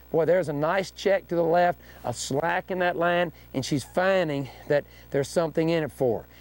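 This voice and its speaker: The recording is very clean, with a silent background. A man talks at a moderate pace in a high pitch with ordinary pitch variation. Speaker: horse trainer. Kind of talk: tutorial.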